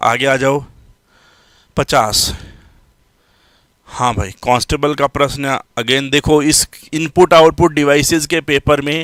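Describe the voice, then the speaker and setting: Pausing long and often, a man speaks at a fairly high pitch with ordinary pitch variation, the sound dry and close with no echo. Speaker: computer science teacher. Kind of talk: live online lecture. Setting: live stream class. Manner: loud.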